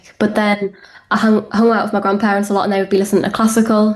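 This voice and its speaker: A woman with a northeast English accent speaks at a fairly high pitch. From northeast England, Hartlepool. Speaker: rock band musician. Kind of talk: interview.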